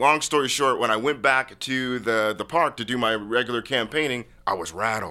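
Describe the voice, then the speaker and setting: A loud man with an American accent, medium pitch, ordinary pitch variation and a bright, sharp tone, hardly any pauses, in a very clean recording with a silent background. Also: moderate pace. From Washington State, US (University Place, Tacoma area). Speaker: founder of a humanitarian peace organization. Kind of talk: casual interview. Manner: loud, boisterous.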